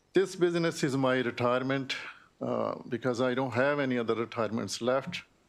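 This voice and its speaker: This is a normal speaking voice with ordinary pitch variation. It moves at a fairly quick pace. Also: man, medium pitch for a man. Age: 60s. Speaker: small business owner. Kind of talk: testimony. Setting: legislative committee hearing.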